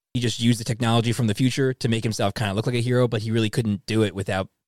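The man rattles along very rapidly in a mid-range pitch. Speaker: comic book podcast host. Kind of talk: casual chat. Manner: animated.

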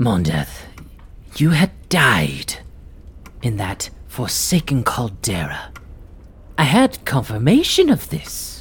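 In a put-on character voice of low-to-middle pitch, the speaker goes at a very slow pace with long, frequent pauses over light background noise. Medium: actual play. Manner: suspicious, imperious.

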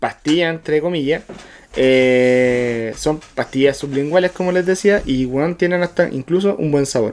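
A man speaks in a Chilean accent at a fairly slow pace. His pitch sits fairly high and his intonation is lively. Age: 30s. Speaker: podcast co-host. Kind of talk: casual chat.

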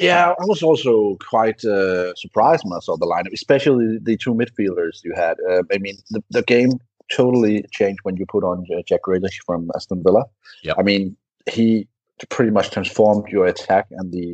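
With a Danish accent, a man speaks at a fairly low pitch and a moderate pace. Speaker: football blogger. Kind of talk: casual chat. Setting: remote call.

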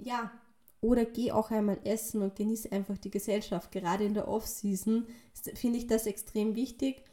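A woman speaks with monotone, flat intonation. Her fairly high voice is somewhat breathy. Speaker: fitness and nutrition coach. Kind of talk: podcast monologue. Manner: casual, filler-heavy.

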